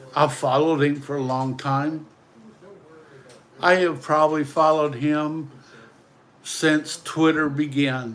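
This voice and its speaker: A man talks very slowly in a fairly high, flat monotone. His speech has long, frequent pauses. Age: 60s. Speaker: livestreamer. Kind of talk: livestream monologue. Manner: emotional.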